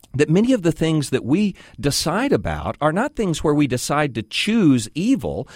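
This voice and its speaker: A man's fairly high voice with vocal fry, very wide pitch swings and an American accent, at a moderate pace. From Texas. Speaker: guest radio host. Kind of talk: call-in talk radio. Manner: conversational, frequent fillers.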